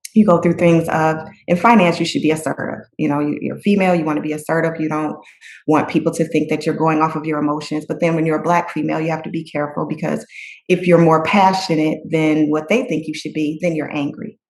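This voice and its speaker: Speaking at a very fast pace, the woman has a very deep, low pitch and fairly even intonation. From US Midwest, Detroit, Michigan. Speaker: finance executive. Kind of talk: podcast interview.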